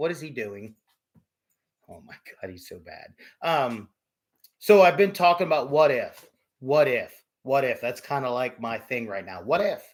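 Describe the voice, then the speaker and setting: Long, frequent pauses break up a man's speech, which has a fairly high pitch and lively intonation. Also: moderate pace, big swings in loudness. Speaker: livestream guest. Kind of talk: casual chat.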